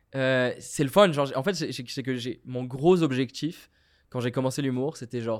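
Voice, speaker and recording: The speaker has a plain, everyday voice. The pace is fairly slow, with fairly even intonation. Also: man. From Morocco. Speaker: comedian. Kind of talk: casual chat.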